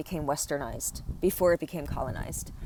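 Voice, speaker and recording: The speaker has an American accent and a fairly quick pace, with ordinary pitch variation. The sound is dry and close, with no echo. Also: woman. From US, Korean American family. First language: Korean. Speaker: podcast host, healing practitioner. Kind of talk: personal reflective monologue. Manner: hesitant, many fillers and restarts.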